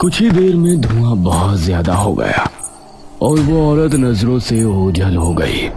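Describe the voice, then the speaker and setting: At a moderate pace, a man does a put-on character voice at medium pitch with very wide pitch swings, over clear background noise. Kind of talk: horror narration. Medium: read story.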